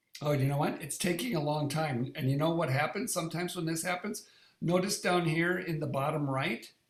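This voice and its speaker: Audible echo from the room surrounds speech whose pitch varies in an ordinary way. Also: man. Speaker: wellness device user group leader. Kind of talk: live online demo tutorial. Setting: live online meeting.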